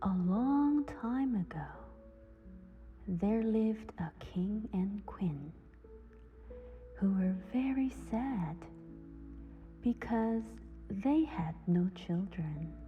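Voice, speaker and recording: A soothing voice speaks at a very slow pace with long, frequent pauses. Music plays in the background. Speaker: simultaneous interpreter reading English fairy tales. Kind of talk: sleep story, bedtime fairy tale reading. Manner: slow, soothing.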